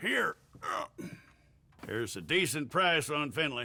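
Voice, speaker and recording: A man's raspy, put-on character voice, fairly high in pitch, with lively intonation and a fairly slow pace. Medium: video game.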